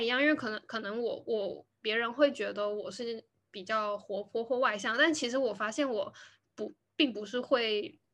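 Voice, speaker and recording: A woman with a fairly high voice keeps to a moderate pace. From Taiwan. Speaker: podcast host. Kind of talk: casual chat. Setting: video call recording.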